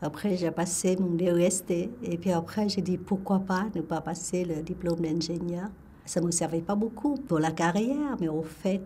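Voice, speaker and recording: A woman speaks fairly slowly with a Vietnamese accent and a fairly low pitch. Noticeable background noise sits behind her voice. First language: Vietnamese (speaking French). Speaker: retired engineer telling her life story. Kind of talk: life story testimony. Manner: halting, many hesitations.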